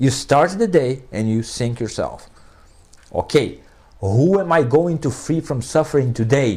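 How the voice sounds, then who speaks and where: A man with a Portuguese accent talks at a fairly slow pace, his fairly high voice moving in lively intonation. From Brazil. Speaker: philosophy professor. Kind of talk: interview conversation. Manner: animated.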